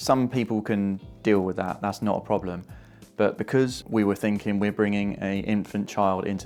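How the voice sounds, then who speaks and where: A man in an English accent speaks with a fairly low pitch. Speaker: YouTuber. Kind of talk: tutorial. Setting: home. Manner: casual.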